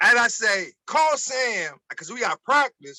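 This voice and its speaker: In a Baltimore accent, a man with an extremely high pitch uses a raised, projected voice at a very slow pace, and the sound is dry and close with no echo. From Baltimore, Maryland, US. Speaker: former college basketball player. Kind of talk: interview storytelling.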